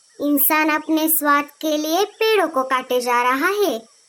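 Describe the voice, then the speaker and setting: The speaker uses a cartoonish character voice at a fairly slow pace. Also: female-sounding voice. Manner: knowing, lecturing.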